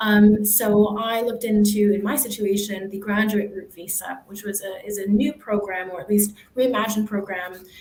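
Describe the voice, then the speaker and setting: Speaking with an American accent, a woman has a medium pitch and a moderate pace. Noticeable background noise is present. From United States. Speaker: university staff, former international student. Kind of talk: panel Q&A.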